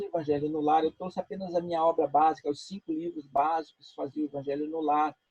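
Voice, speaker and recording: A man speaks with a fairly high pitch and a dark, mellow tone. His intonation is fairly even, and the sound is dry and close with no echo. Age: 60s. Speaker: spiritist speaker. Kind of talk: interview.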